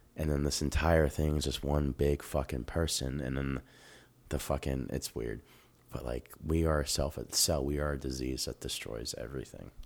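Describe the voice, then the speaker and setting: With an American accent, a man speaks at a very deep, low pitch in a monotone, flat intonation. The recording is very clean, with a silent background. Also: moderate pace. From US Midwest (Dayton, Ohio). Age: 30s. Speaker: stand-up comedian. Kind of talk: casual chat.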